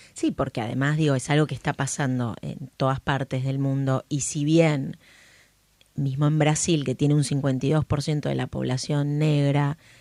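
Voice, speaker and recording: With a porteño accent, a woman speaks at a moderate pace in a very deep, low voice, her tone dark and mellow, her intonation monotone and flat, the sound dry and close with no echo. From Brazil and Buenos Aires. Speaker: podcast host. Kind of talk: casual interview chat.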